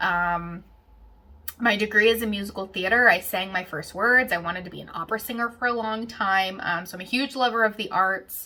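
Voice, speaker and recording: With a Western Pennsylvania accent, a woman talks at a fairly quick pace in a bright, sharp tone, her loudness swinging widely. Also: medium pitch for a woman, ordinary pitch variation. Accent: Western Pennsylvania American. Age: 20s. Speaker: knitting podcaster. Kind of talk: casual Q&A chat. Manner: chatty, with many fillers.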